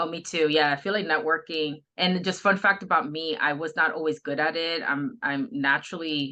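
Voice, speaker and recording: A woman speaks at a moderate pace with hardly any pauses. Her pitch is fairly low, with ordinary pitch variation. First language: not English. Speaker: healthcare administrator. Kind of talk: interview.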